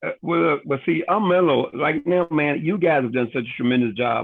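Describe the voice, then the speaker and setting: A man with a plain, everyday voice, moderate pace and ordinary pitch variation. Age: 60s. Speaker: network marketing leader. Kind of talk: Q&A on a business training call. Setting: livestreamed online call.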